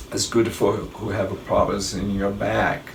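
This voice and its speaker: Speaking at a fairly slow pace in a strong Brazilian accent, a man with a fairly low pitch is heard over noticeable background noise and audible room echo. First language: Portuguese. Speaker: travel vlogger, airline worker. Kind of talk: casual travel tips talk. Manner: halting, self-correcting.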